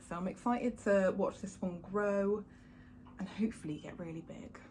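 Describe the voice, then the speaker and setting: Her voice sits at a medium pitch for a woman and comes out somewhat breathy. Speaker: houseplant youtuber. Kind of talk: casual video tour. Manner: fast; animated.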